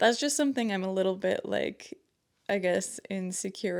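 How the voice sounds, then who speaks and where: A woman at a moderate pace, in a very clean recording with a silent background. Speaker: artist and video creator. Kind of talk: casual vlog talk to camera. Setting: self-filmed to camera. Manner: hesitant, many fillers.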